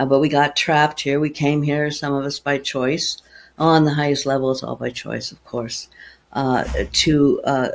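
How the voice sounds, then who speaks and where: A woman's very deep, low pitch at a fairly slow pace. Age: 70s. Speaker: spiritual healer. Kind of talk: podcast interview. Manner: halting.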